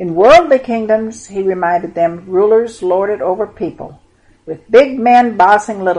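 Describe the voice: The clip is plain reading aloud.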